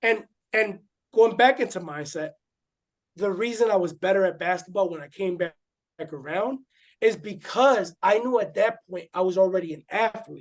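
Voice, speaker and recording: A man with a slight Spanish accent and a high pitch speaks at a moderate pace with ordinary pitch variation and big swings in loudness. Long, frequent pauses break up his speech against a quiet background. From Puerto Rico. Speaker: former boxer and growth coach. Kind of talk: interview.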